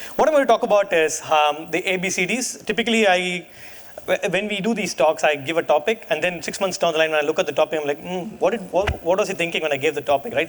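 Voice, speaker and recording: The speech moves at a very fast pace with ordinary pitch variation, and noticeable background noise runs underneath. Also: man. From India. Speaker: data science leader, conference speaker. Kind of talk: keynote talk. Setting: stage with audience.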